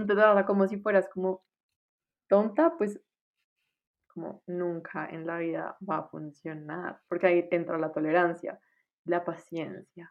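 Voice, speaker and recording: A woman's fairly low voice in monotone, flat intonation, fairly slow, with long, frequent pauses and big swings in loudness. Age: 20s. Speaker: medical student. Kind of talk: casual chat.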